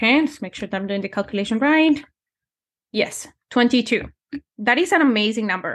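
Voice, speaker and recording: A woman speaks with lively, bouncing intonation. The background is quiet. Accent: Spanish. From Colombia. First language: Spanish. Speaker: numerology and manifestation coach. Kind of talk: casual interview.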